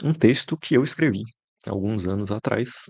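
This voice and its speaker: With a quiet background behind him, the man talks at a fairly slow pace and shows ordinary pitch variation. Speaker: content creator. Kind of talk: casual monologue. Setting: bedroom.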